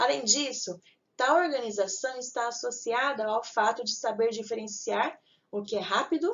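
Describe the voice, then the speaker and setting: A woman speaks with an ordinary speaking voice. Her pitch is fairly high and her intonation lively. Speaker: teacher. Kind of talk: lecture.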